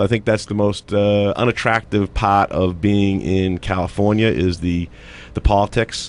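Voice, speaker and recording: A man talks with a plain, everyday voice at a fairly low pitch. His pace is moderate. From Massachusetts (Haverhill, near Boston). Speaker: retired navy captain and political candidate. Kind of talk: radio interview.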